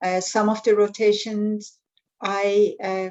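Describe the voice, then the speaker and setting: Very slow in pace, a woman speaks at medium pitch with a non-native accent. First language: not English. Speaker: pharmacist in drug development. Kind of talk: panel discussion. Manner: halting.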